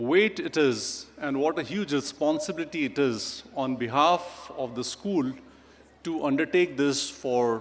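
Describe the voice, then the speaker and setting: A man with a Pakistani accent speaks at a fairly high pitch with ordinary pitch variation. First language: Urdu. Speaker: chief guest speaker. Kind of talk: ceremonial speech.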